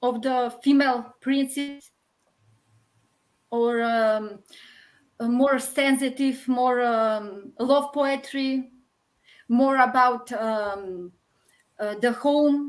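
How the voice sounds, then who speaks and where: A woman with a Macedonian accent speaks at a high pitch. Her very slow delivery has fairly even intonation and long, frequent pauses. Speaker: poet. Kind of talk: interview. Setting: online live stream. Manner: hesitant.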